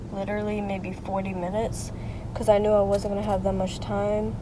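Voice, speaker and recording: A woman at a moderate pace, with audible room echo and noticeable background noise. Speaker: lifestyle vlogger. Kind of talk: casual vlog chat. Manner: casual, filler-heavy; soft-spoken, quiet.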